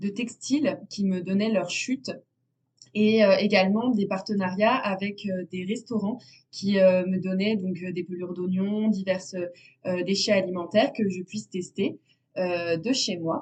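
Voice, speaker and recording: A woman with a medium-pitched voice talks fairly slowly, her intonation fairly even. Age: 20s. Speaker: natural dyer. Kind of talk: interview. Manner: hesitant, many fillers.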